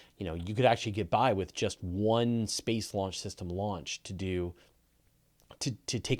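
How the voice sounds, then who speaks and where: A man's ordinary speaking voice with a Canadian accent, fairly low in pitch with ordinary pitch variation and a moderate pace, on a very clean recording with a silent background. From Canada. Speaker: space and astronomy video host. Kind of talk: live Q&A. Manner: casual with many fillers and restarts.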